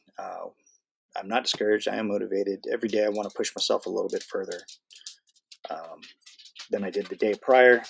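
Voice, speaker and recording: A man at a very fast pace, broken by long, frequent pauses. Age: 40s. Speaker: vlogger recovering from a stroke. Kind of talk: casual live stream update. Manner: halting, with many fillers.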